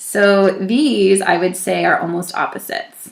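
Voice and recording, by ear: At a fairly slow pace, a woman speaks at a medium pitch with vocal fry and ordinary pitch variation, and audible room echo surrounds her.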